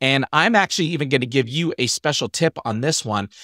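A man at a moderate pace, bright and sharp in tone, over a quiet background. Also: dry sound with no echo. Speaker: podcast host. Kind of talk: casual podcast talk, travel tips. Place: home room. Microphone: studio mic.

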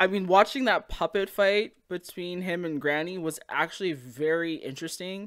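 A woman speaks at a fairly slow pace over a quiet background. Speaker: anime reviewer. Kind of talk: casual commentary. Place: home room. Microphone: studio mic.

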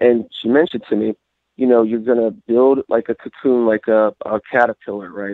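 A man with an ordinary speaking voice talks at a moderate pace and medium pitch, in an American accent with fairly even intonation. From US Midwest. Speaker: caller. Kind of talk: call-in question.

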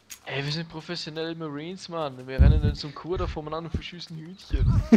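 The voice races at a very fast pace with flat, monotone intonation. Loudness swings widely over noticeable background noise. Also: man, fairly high pitch for a man. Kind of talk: let's play commentary.

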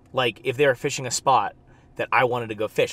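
The speaker is a man. The sound is dry, with no echo. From California (Bakersfield). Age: 20s. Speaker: fly fishing guide and video creator. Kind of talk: casual vlog talk to camera. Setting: outdoors at ponds. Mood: frank, mildly annoyed. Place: car. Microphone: phone near.

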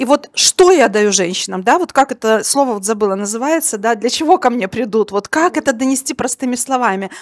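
A woman talks at a fairly quick pace with a high pitch. Her intonation is lively. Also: quiet background. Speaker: women's coach, audience member. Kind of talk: question from the audience at a live talk. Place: hall. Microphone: handheld.

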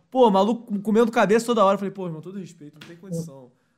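A man's voice against a quiet background. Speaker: podcast host. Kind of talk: casual podcast chat. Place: home room.

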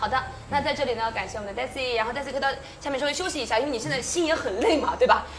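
Talking at a very fast pace, a woman with a high pitch and ordinary pitch variation is heard over light background noise. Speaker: event host. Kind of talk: live-stream hosting. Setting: outdoor tent on the Great Wall. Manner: lively, teasing. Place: studio. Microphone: lapel.

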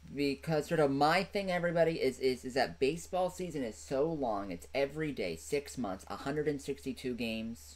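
The pace is moderate. The intonation is lively. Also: man.

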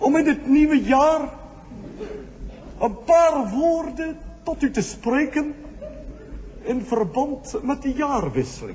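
A man speaks at an extremely high pitch and a very slow pace, with ordinary pitch variation. Long, frequent pauses break his speech over noticeable background noise. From Netherlands. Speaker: cabaret performer. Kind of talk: New Year's Eve cabaret monologue.

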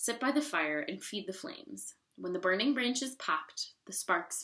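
Someone reads a text aloud plainly. Little sound comes from the background, which is quiet.

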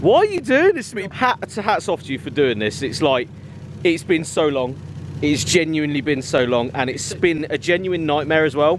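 With noticeable background noise and a dry sound with no echo, a man speaks at a moderate pace. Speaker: car vlogger. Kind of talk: casual vlog chat. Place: street. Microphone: phone near.

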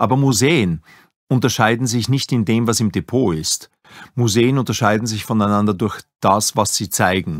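A man speaks in a normal speaking voice, medium in pitch, at a moderate pace with ordinary pitch variation. The recording is very clean with a silent background and a dry, close sound with no echo. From Upper Austria, Linz. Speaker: museum director. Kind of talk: interview.

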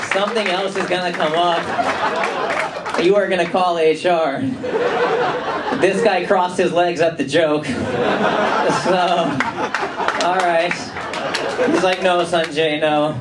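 Over loud background noise, a man with an American accent speaks at a very slow pace with long, frequent pauses. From Los Angeles, USA. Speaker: stand-up comedian. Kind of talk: live stand-up comedy set to a club audience. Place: stage.

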